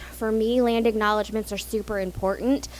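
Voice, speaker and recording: With an American accent, a woman talks at a fairly quick pace and medium pitch over noticeable background noise. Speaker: public historian. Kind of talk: lecture. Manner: loud; fast when excited.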